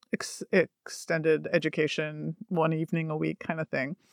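In an ordinary speaking voice, a woman with a Canadian accent talks at a moderate pace and a fairly low pitch, the sound dry and close with no echo in a very clean recording with a silent background. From Canada, Toronto. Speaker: author and painter. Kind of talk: interview.

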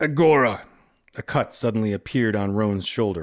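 A natural voice reading aloud

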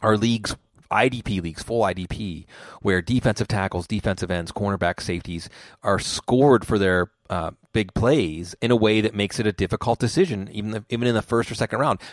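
In an ordinary speaking voice, a man talks at a fairly quick pace with a fairly low pitch and ordinary pitch variation, the sound dry and close with no echo and the recording very clean over a silent background. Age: 40s. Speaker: fantasy football analyst. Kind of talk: casual chat. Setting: podcast recording.

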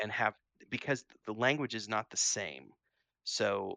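A man speaks at a moderate pace with an American accent. The sound is dry and close with no echo. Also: quiet background. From Missouri, US Midwest. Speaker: gaming podcast co-host and game developer. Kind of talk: casual chat. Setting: live stream.

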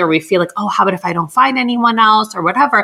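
A woman's very fast, medium-pitched speech in an American accent, lively in intonation, over noticeable background noise. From Southern California (Los Angeles). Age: 30s. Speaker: clinical psychologist. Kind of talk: interview, casual advice chat.

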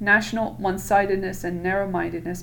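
A woman's medium-pitched voice with vocal fry, fairly even intonation and a moderate pace. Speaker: podcast host reading aloud. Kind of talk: reading aloud of a text. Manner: casual, joking, swears a lot.

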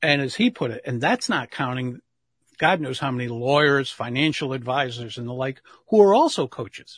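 Somewhat breathy, the voice has a dry, close sound with no echo over a quiet background. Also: man, medium pitch for a man, ordinary pitch variation, moderate pace. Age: 60s. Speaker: public speaking coach. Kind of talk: interview.

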